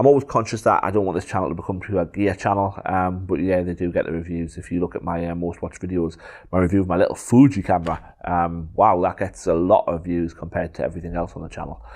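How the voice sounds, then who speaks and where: Fairly quick speech in a strong Geordie accent, with ordinary pitch variation, on a very clean recording against a silent background. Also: man. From northeast England, Gateshead. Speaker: photographer, YouTuber. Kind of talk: casual Q&A vlog. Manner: hesitant, many filler ums.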